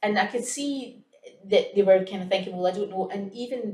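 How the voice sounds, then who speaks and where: Speaking with a Scottish accent, a woman uses ordinary pitch variation. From Scotland. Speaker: early years educator. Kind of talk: casual chat.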